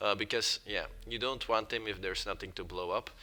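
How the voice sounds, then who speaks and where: Speaking with a non-native accent, a man uses fairly even intonation and a bright, sharp tone. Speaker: gaming youtuber. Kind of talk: tutorial. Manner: hesitant, many fillers.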